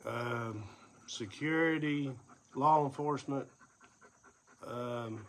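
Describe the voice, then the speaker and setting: Long, frequent pauses break up the very slow speech of a man with an Appalachian accent. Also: medium pitch for a man, ordinary pitch variation. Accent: Southern Appalachian American. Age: 50s. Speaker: vlogger, former first responder and investigator. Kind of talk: personal vlog monologue. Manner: casual, with fillers.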